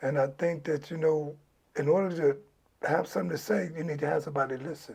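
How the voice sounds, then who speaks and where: Speaking at a fairly quick pace with an American accent, a man uses a fairly high, somewhat breathy voice with ordinary pitch variation. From Los Angeles, California. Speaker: former gang member. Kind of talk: interview.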